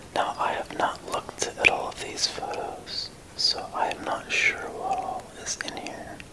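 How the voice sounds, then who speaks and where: Loud background noise surrounds soft-spoken whispering at a fairly slow pace. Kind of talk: casual commentary. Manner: soft ASMR whisper.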